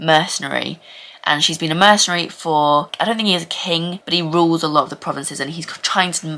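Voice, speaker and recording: Speaking at a very fast pace, a woman has a fairly low pitch, a bright, sharp tone and fairly even intonation. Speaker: book vlogger. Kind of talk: casual vlog chat, book review. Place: home room. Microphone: phone near.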